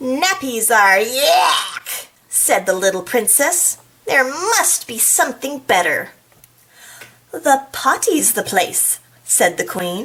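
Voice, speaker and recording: Speaking at a very slow pace, a woman uses a high pitch with very wide pitch swings. Her tone is playful, and noticeable background noise sits behind her. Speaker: school librarian. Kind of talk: children's storytime read-aloud. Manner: playful, chatty asides.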